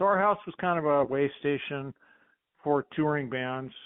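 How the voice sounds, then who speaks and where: A man with an American accent, an unremarkable speaking voice, fairly high pitch, and a moderate pace. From Long Beach, California; teen years in New Mexico. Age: 60s. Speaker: bass player, musician. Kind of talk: casual interview chat.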